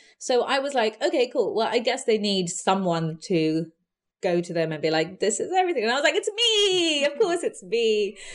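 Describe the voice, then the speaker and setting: Over a quiet background, a woman with a London accent speaks at a moderate pace in a fairly high voice that swings very widely in pitch. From west London (Southall, Hounslow). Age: 30s. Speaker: magazine founder and Pride organiser. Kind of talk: interview.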